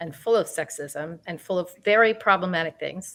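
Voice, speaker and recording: Medium pitch, moderate pace and ordinary pitch variation in a woman's voice, a normal speaking voice. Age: 60s. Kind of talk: panel discussion.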